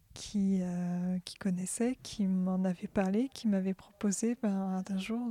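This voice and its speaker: A woman speaks at a medium pitch with fairly even intonation, a dark, mellow tone and a somewhat breathy quality. The sound is dry and close with no echo, on a very clean recording with a silent background. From France, Orléans. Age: 20s. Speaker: workshop participant. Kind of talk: personal testimony.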